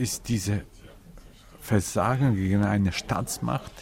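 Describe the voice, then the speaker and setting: A man with a Ukrainian accent speaks very slowly in a fairly low, somewhat breathy voice with ordinary pitch variation. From Ukraine. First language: Ukrainian (speaking German). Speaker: interviewee, Ukrainian living abroad. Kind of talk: interview.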